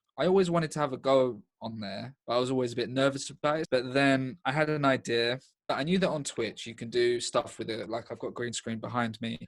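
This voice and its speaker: On a very clean recording with a silent background, a man with an English accent speaks at a medium pitch in a deadpan tone and at a fairly quick pace. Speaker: stand-up comedian. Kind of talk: interview. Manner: deadpan, sounds sarcastic.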